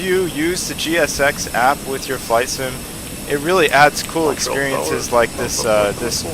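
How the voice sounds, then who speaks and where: Lively intonation from a man with a fairly high pitch, at a moderate pace amid noticeable background noise. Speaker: flight sim streamer. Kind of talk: live stream commentary. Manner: casual, halting with fillers.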